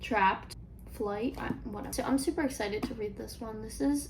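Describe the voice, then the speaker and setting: Over noticeable background noise, someone speaks in a relaxed tone at a moderate pace. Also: woman. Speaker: book reviewer. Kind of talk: casual book ramble to camera. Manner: relaxed, rambling.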